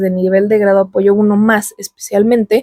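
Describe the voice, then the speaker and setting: The voice has a dark, mellow tone with a Mexican accent, recorded dry and close with no echo. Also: woman. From Mexico. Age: 20s. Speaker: YouTuber. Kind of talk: personal vlog monologue. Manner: casual.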